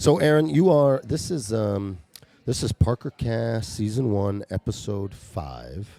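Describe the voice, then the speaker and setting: A man speaks at a fairly slow pace in a dark, mellow tone, his fairly low pitch making very wide swings, all in a dry, close sound with no echo. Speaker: podcast host. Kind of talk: casual interview.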